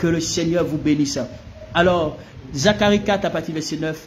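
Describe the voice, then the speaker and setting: The speech shows ordinary pitch variation, with audible room echo and noticeable background noise. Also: man. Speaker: pastor. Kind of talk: sermon. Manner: animated.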